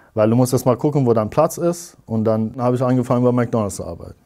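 A man with a dark, mellow tone talks over a quiet background, his pitch moving in an ordinary way. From Iran. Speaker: physics teacher; interviewee, physics teacher. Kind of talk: interview. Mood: calm, reflective. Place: studio.

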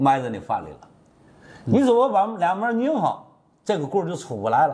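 A man's fairly quick, high-pitched speech with very wide pitch swings and long, frequent pauses. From Tianjin, China; China. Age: 60s. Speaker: master carpenter. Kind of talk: tutorial. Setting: workshop. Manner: casual, repetitive. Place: workshop. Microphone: lapel.

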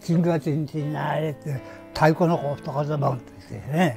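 A man speaks with a Nagasaki accent at a fairly slow pace. Faint music plays behind him. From Hashima Island, Nagasaki, Japan. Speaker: former coal miner. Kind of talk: interview answer. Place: home room.

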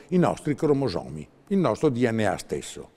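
Against a quiet background, a man with a dark, mellow tone and vocal fry talks at a moderate pace with very wide pitch swings. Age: 70s. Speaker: herbalist, naturopath; guest. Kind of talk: TV interview. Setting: TV studio. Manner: animated. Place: studio. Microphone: lapel.

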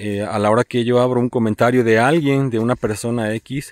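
A man at medium pitch and moderate pace, with ordinary pitch variation, in a dry sound with no echo over a quiet background. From Veracruz, Mexico. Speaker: vlogger. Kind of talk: outdoor vlog narration. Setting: outdoors. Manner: halting, repetitive. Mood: warm, appreciative. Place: open country. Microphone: phone near.

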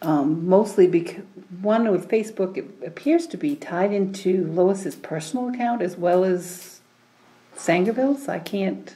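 A woman with a plain, everyday voice speaks at a medium pitch and a fairly slow pace with lively intonation. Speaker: town official. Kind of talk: town council meeting. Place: meeting room.

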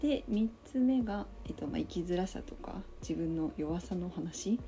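Lively intonation and vocal fry mark this woman's dark, mellow voice. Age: 20s. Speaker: office worker. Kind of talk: casual talk to camera. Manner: hesitant.

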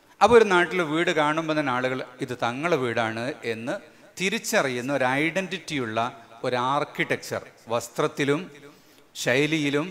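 Lively intonation marks this man's fairly high-pitched voice. Light background noise sits behind him. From Kerala, India. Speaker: Islamic scholar and event organizer; speaker. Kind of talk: speech to a religious gathering. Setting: large marquee gathering. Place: stage. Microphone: podium.

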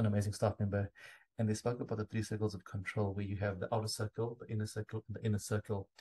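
Fairly low and somewhat breathy, a man's voice has a dark, mellow tone and flat, monotone intonation. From South Africa. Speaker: podcast host. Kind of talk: casual interview chat. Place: home room.

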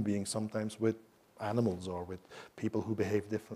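Dark and mellow in tone, a man's voice moves at a fairly quick pace. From Belgium. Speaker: professor of Chinese. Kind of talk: lecture. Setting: stage with audience. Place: hall.

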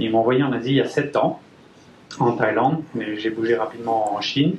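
A man speaks with fairly even intonation, and some room echo can be heard. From France, Brittany (Guingamp). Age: 30s. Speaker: engineer and company manager. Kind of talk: business presentation. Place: meeting room. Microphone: pa.

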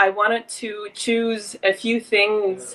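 A woman talks in a bright, sharp tone. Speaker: fitness instructor. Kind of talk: live-stream workout intro chat. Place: garden. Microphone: phone near.

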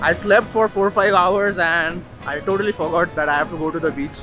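Over clear background music, a man uses a raised, projected voice at a moderate pace with fairly even intonation, the sound dry with no echo. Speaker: travel vlogger. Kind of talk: casual vlog chat. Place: street. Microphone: phone near.

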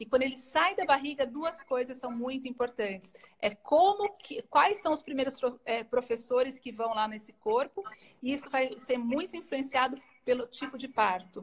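A woman speaks at a moderate pace. Her pitch is high and her intonation lively. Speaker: pediatric allergy doctor; guest. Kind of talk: live-stream interview. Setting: Instagram live video. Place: home room.

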